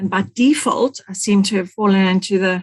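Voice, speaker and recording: A somewhat breathy woman with a South African accent at a moderate pace, dry and close with no echo. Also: quiet background. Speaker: support coordinator, former nurse. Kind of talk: roundtable discussion.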